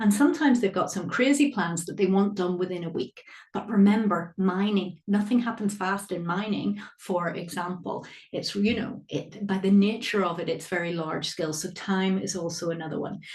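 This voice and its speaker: A woman's medium-pitched voice in a Northern Irish accent, moderate in pace with ordinary pitch variation, hardly any pauses and audible room echo. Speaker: accountancy exam tutor. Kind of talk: live online workshop lecture. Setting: live webinar. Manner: animated.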